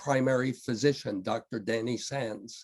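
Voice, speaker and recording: Speaking with an American accent, a man talks at a very slow pace. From United States. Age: 70s. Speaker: patient advocate and speaker. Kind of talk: webinar lecture.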